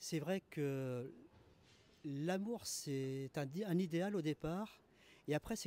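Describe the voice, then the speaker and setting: Dry and close with no echo, this man's voice has a dark, mellow tone and a fairly high pitch. He speaks very slowly, with ordinary pitch variation. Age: 60s. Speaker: interviewee on the street. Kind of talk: street interview. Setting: outdoors on a terrace. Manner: hesitant, many fillers.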